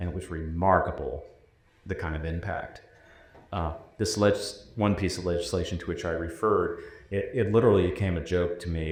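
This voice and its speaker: A man's voice carries audible room echo. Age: 60s. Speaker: former higher education commissioner. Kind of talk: panel discussion.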